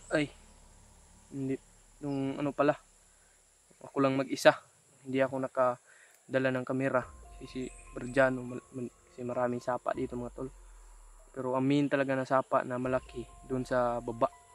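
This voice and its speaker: With music in the background, the speaker moves at a fairly quick pace but leaves long, frequent pauses. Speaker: adventure vlogger. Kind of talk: outdoor vlog narration. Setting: outdoors, mountain creek. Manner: halting.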